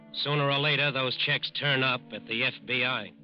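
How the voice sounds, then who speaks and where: A man speaks with music playing in the background. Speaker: radio narrator. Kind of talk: dramatic radio narration. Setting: vintage radio studio broadcast.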